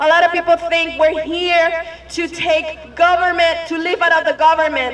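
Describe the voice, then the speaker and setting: The voice is shaky and moves at a fairly slow pace. Crowd noise fills the background. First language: Spanish. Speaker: activist. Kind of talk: public speech.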